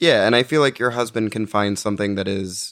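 A man's ordinary speaking voice, its pitch fairly low and its variation ordinary. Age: 20s. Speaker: podcast producer. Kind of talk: casual chat. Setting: studio.

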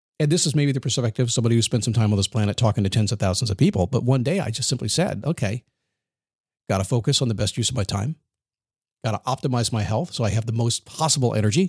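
A man with a medium-pitched, somewhat breathy voice talks at a very fast pace with ordinary pitch variation, in a dry, close sound with no echo. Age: 60s. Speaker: motivational podcast host. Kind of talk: motivational monologue. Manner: energetic.

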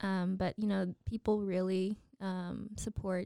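Recorded dry and close with no echo, a woman with an American accent talks at a fairly slow pace in a dark, mellow tone, her medium-pitched voice monotone and flat. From Waco, Texas. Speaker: arts nonprofit marketing director. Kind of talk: interview.

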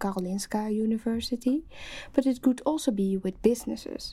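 A woman with a fairly high pitch and a dark, mellow, somewhat breathy tone speaks at a moderate pace. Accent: Dutch. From Netherlands. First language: Dutch. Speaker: PhD student, sociologist. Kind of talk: casual panel discussion.

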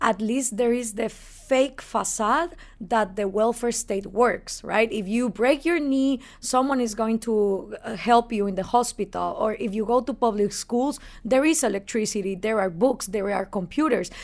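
On a very clean recording with a silent background, a woman with a Spanish accent speaks at a moderate pace in a fairly high voice with ordinary pitch variation. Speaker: libertarian activist and radio host. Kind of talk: interview. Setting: in person in New York.

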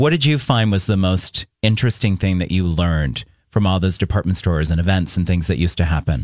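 The voice races along at a very fast pace with lively intonation, very even loudness and hardly any pauses. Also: man, very deep, low pitch for a man. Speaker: radio co-host. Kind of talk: casual chat. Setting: studio.

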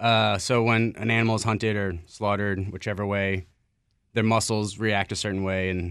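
With an American accent, a man talks in a fairly low pitch and a monotone, flat intonation. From Maryland, DC area. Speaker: chef. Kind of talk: casual chat. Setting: studio.

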